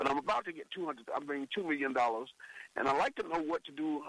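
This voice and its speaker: In a dry, close sound with no echo, a man with a fairly high pitch talks with ordinary pitch variation. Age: 60s. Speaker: caller. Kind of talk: phone-in question to radio host. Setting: phone call. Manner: halting, with restarts.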